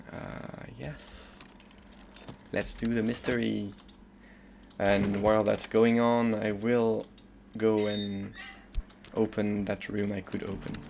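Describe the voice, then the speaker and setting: The speaker has a French accent and talks at a very slow pace. Long pauses come often. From France, Paris suburbs. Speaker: video game streamer. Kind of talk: casual gameplay commentary.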